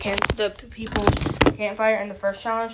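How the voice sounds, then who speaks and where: At a moderate pace, a woman talks in a fairly high, flat monotone. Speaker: gaming youtuber. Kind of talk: casual commentary recap. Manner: halting, stutters.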